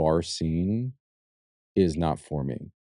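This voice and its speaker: A man speaks softly. His voice is very deep and low. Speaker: podcast host. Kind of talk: casual podcast conversation. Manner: quiet, does not carry.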